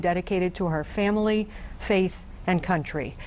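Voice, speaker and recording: In a normal speaking voice with an American accent, a woman talks at a fairly quick pace, fairly low in pitch, with fairly even intonation. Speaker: TV news reporter and anchor. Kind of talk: TV news anchor delivery.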